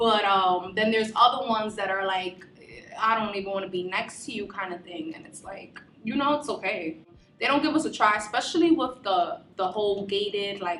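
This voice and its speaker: Music plays in the background as a woman talks at a fairly quick pace in a Bronx accent, her intonation lively. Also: big swings in loudness. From the Bronx, New York City. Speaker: university student. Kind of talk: documentary interview. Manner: casual, many filler words.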